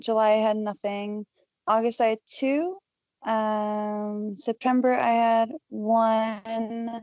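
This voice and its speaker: Speaking at a very slow pace, a woman with a fairly high pitch keeps her intonation fairly even. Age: 30s. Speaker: adult film performer. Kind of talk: casual chat. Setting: video call. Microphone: Skype connection with word dropouts.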